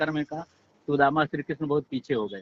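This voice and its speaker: A man speaks with fairly even intonation at a fairly high pitch. It is a plain, everyday voice. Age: 60s. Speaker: caller, dairy farmer. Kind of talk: phone-in debate. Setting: phone call.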